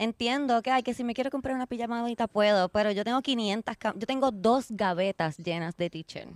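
On a very clean recording with a silent background, a woman with a plain, everyday voice and a fairly high pitch talks at a fairly quick pace with ordinary pitch variation and hardly any pauses. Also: dry, close sound with no echo. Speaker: podcast host. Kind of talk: casual chat. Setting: outdoors in a park.

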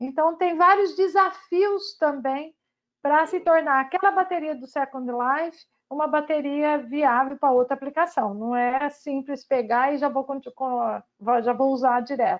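Here a woman speaks at a fairly slow pace with a high pitch. Her pitch variation is ordinary. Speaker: battery researcher, chemist. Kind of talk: casual panel discussion.

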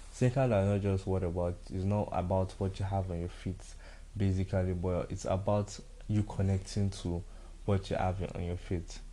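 Here a man with a Nigerian accent talks at a moderate pace in a very deep, low pitch. His delivery is monotone and flat, with a dark, mellow tone and a somewhat breathy quality. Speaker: podcast host. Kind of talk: casual solo podcast monologue. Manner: casual, relaxed.

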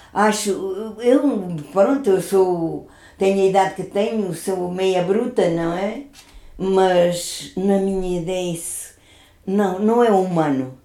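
A woman at a medium pitch with a dark, mellow tone, ordinary pitch variation and a very slow pace, with audible room echo. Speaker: grandmother. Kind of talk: casual chat.

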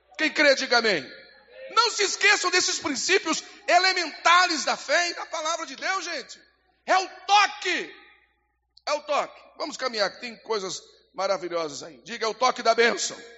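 A man speaks at an extremely high pitch with an animated tone and very wide pitch swings. His pace is moderate, broken by long, frequent pauses. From Brazil. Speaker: pastor. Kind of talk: sermon; scripture reading. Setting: church.

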